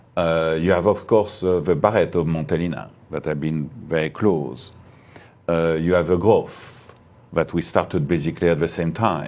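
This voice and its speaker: A man with a very deep, low pitch and a French accent, at a moderate pace with fairly even intonation. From France. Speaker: winery owner. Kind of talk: interview. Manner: halting.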